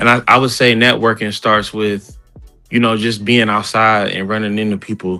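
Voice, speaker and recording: Music plays behind a man who talks at a moderate pace in a fairly low pitch with monotone, flat intonation. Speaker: rapper. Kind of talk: interview answer. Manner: casual.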